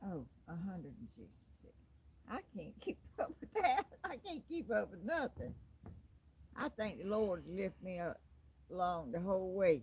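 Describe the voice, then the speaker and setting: The speaker has a Southern accent, with very wide pitch swings and big swings in loudness. Long, frequent pauses break up the speech. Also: woman, medium pitch for a woman, moderate pace. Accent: Southern, says y'all. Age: 80s+. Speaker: YouTuber. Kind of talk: casual chat.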